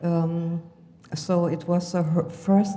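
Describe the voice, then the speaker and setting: A woman speaks with a German accent and monotone, flat intonation. Audible room echo and noticeable background noise fill the recording. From Germany, Hamburg. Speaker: healer and motivational speaker. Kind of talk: conference talk. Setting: stage with audience. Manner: halting, many fillers.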